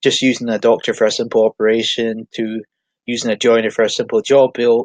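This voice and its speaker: A man with a Highland Scottish accent, medium pitch and monotone, flat intonation, at a fairly quick pace, in a dry, close sound with no echo. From Scotland, Inverness. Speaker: online marketing tutor. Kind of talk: tutorial. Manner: halting.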